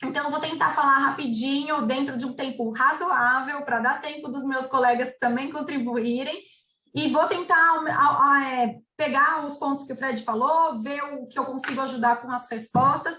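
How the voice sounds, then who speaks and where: A woman speaks in a raised, projected voice with a bright, sharp tone and high pitch. Her moderate pace has hardly any pauses and fairly even intonation. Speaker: labor lawyer. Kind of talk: webinar presentation. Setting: webinar.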